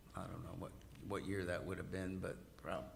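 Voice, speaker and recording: A man with vocal fry at a fairly quick pace, with audible room echo. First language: Arabic. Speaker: guest interviewee. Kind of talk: casual interview chat. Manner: halting, many false starts.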